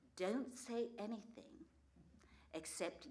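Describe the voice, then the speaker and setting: The voice belongs to a woman, delivering words at a fairly slow rate. An echo from the room can be heard. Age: 60s. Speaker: storyteller. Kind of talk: live storytelling performance. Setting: stage with audience.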